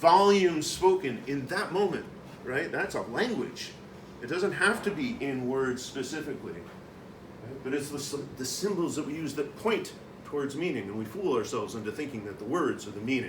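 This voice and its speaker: A loud man's voice, fairly high in pitch, with very wide pitch swings, a moderate pace and audible room echo. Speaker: conference speaker. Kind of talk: conference presentation. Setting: conference room with audience.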